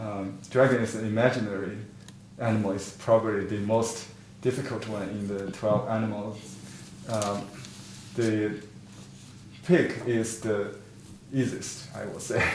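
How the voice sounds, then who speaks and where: With fairly even intonation and long, frequent pauses, a man talks at a fairly slow pace, his loudness swinging widely, amid audible room echo and noticeable background noise. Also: fairly low pitch for a man. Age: 50s. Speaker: painting teacher. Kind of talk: online class lecture. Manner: halting, many fillers.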